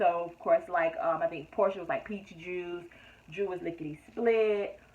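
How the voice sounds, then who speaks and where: Fairly quick speech from a woman in a medium pitch, against noticeable background noise. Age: 30s. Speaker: YouTube reality TV reviewer. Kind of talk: casual review monologue. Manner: frequent fillers (um); stuttering when frustrated.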